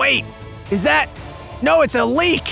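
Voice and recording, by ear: A man performs a cartoonish character voice. Clear music plays in the background.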